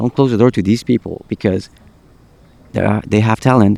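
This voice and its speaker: A man's dark, mellow voice, fairly low in pitch, with a non-native accent, a fairly quick pace, fairly even intonation and a dry, close sound with no echo. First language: not English. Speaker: podcast host. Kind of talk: casual chat. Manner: halting, repeats words.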